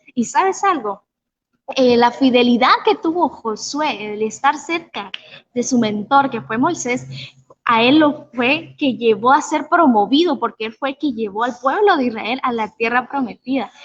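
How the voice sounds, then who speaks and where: Speaking at a fairly slow pace, a woman talks in a high pitch. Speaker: youth preacher. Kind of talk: sermon. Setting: online livestream.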